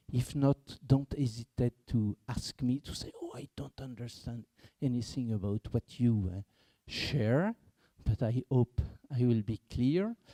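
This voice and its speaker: Speaking with a French accent, a man at a medium pitch uses a dark, mellow tone and ordinary pitch variation, moving at a fairly slow pace with big swings in loudness in a dry, close sound with no echo. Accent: non-native English, French. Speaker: market research executive, behavioral economics consultant. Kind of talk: conference panel talk.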